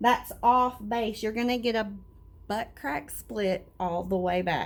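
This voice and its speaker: Somewhat breathy and fairly high in pitch, a woman speaks very slowly with lively intonation. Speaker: hairstylist. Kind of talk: tutorial.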